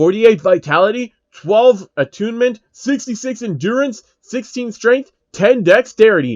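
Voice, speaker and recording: Using a put-on character voice pitched high, a man speaks at a moderate pace with hardly any pauses. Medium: read story.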